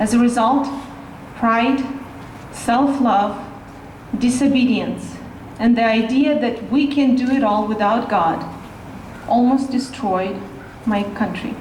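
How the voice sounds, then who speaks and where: Amid noticeable background noise and audible room echo, a woman with a Russian accent speaks at a high pitch and a very slow pace, with fairly even intonation, very even loudness and long, frequent pauses. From Russia (Siberia). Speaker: rally speaker. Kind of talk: speech.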